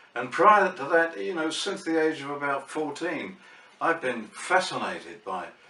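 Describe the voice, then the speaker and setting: Over noticeable background noise, a man with a southern English accent talks at a moderate pace, his fairly high voice moving in lively intonation. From England, Barnet, Hertfordshire. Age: 70s. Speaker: vlogger. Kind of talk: casual vlog monologue. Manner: hesitant, with fillers.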